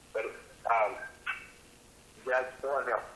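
With audible room echo, a man speaks at a moderate pace in a bright, sharp tone.

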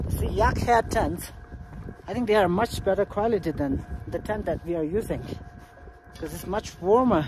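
A man speaks at a moderate pace in a high pitch with ordinary pitch variation, leaving long, frequent pauses. The sound is dry with no echo, though noticeable background noise is present. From Tibet. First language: Tibetan. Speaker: travel vlogger. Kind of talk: vlog narration. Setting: outdoors. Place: open country. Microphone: phone near.

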